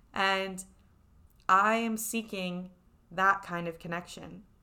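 A woman speaks at medium pitch with a New York accent. Her tone is bright and sharp, with ordinary pitch variation. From New York City. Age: 20s. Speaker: podcast host and life coach. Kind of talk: solo podcast monologue with ad read.

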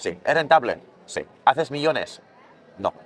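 With crowd noise in the background, a man talks at a moderate pace. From Catalonia, town outside Barcelona. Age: 30s. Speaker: skateboard maker. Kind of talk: interview. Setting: festival.

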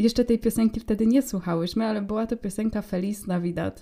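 A woman speaks very fast at a fairly high pitch. Her tone is dark and mellow, with ordinary pitch variation. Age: young. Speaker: podcast co-host. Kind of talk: casual chat.

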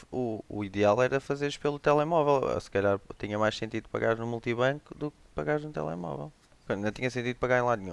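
A man at a medium pitch talks at a very fast pace, with lively intonation and big swings in loudness. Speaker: tech podcast guest. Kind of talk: casual chat.

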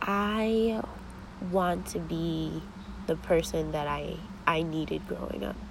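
Amid audible room echo, a woman talks at a very slow pace with long, frequent pauses. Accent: American. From US Northeast, Connecticut (New Haven area). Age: 20s. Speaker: podcast host. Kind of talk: casual monologue.

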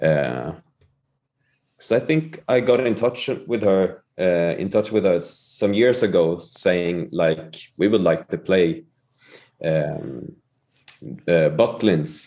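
A man with a Swedish accent speaks very slowly, with long, frequent pauses. His dark, mellow voice sits fairly low in pitch and swings very widely. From Sweden. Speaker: musician. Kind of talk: casual chat.

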